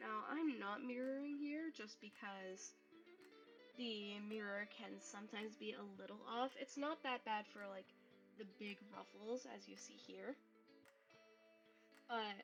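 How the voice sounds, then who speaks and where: A woman speaks at a fairly slow pace in a relaxed tone, leaving long, frequent pauses. Music plays in the background. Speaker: game fashion designer. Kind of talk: game tutorial voiceover. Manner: casual, relaxed.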